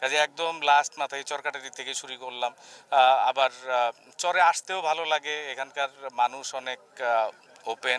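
Ordinary pitch variation marks the speech. The sound is dry, with no echo. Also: man. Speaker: local politician. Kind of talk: interview answer. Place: waterside.

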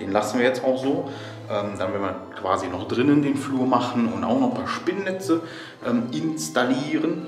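A man is talking at a moderate pace. Clear music can be heard behind his voice. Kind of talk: casual vlog chat. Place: home room. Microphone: phone near.

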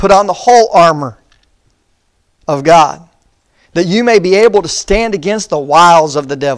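Over a quiet background, a man with a high pitch and lively intonation talks at a moderate pace, leaving long, frequent pauses. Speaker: preacher. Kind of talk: sermon. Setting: church. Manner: earnest, pastoral, exhorting the congregation; measured, reverent when reading scripture aloud. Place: church. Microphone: lapel.

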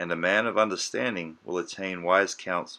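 In an Australian accent, a man speaks at a moderate pace with a fairly low pitch, a bright, sharp tone and ordinary pitch variation. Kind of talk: audiobook scripture reading.

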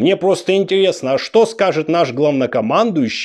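A man speaks with vocal fry and very wide pitch swings. The background is quiet. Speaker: political commentator. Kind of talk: satirical political monologue. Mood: sarcastic, mocking. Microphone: lapel.

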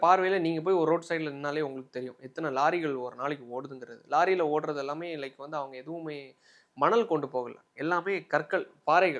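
An unremarkable speaking voice from a man, pitched fairly high, its pitch varying in an ordinary way. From Tamil Nadu, Kanyakumari district. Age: 20s. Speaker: advocate, interview guest. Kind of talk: interview.

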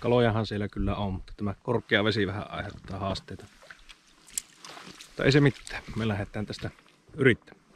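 A man with a fairly low pitch and fairly even intonation talks at a moderate pace with long, frequent pauses, his voice dry with no echo over light background noise. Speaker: angler vlogger. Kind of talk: casual vlog chat. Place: waterside. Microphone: phone near.

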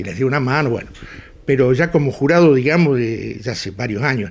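A man speaks with a Rioplatense accent and ordinary pitch variation. His voice is somewhat breathy. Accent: Argentine rioplatense Spanish. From Argentina, Pampas (Chañar Ladeado, Santa Fe). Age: 70s. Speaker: pig breeder and livestock judge. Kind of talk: interview. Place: home room.

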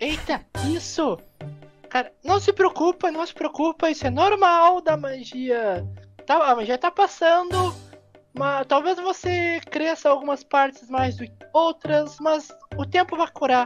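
A put-on character voice pitched high, speaking at a fairly slow pace with long, frequent pauses over faint background music. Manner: cheeky, teasing, playful.

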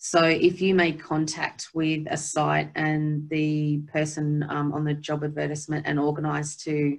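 Her pitch sits very deep and low. The woman speaks in an Australian accent. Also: quiet background. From Australia, central tablelands of New South Wales. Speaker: rural director of nursing; presenter. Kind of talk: webinar workshop presentation. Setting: video call from her office. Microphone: laptop; webcam.

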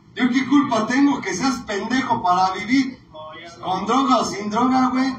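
An extremely high-pitched man at a fairly slow pace with ordinary pitch variation, audible room echo and light background noise. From Mexico. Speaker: recovery group sponsor. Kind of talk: talk at a recovery group meeting. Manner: animated. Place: meeting room. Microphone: phone near.

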